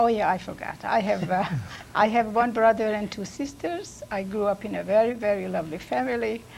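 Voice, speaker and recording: At a fairly quick pace, a woman with a plain, everyday voice speaks with lively intonation and medium pitch. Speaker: immigrant telling life story. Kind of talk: family interview. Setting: recorded at a college.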